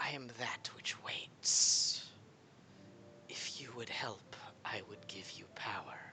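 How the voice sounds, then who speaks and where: In a put-on character voice, a man speaks very slowly at a medium pitch, sounding raspy and hissing. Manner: eerie, tempting.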